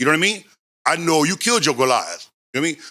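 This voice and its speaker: Speaking at a very fast pace, a man with a fairly high pitch and an American accent has a bright, sharp tone. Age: 60s. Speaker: former gang member. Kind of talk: casual chat. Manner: halting.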